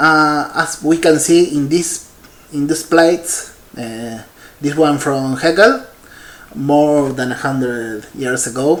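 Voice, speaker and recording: A man speaks very slowly at a fairly high pitch with ordinary pitch variation. Room echo is audible, and background noise is noticeable. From Argentina. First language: Spanish. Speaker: paleontologist. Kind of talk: conference keynote talk. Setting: virtual congress presentation. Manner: halting, many fillers.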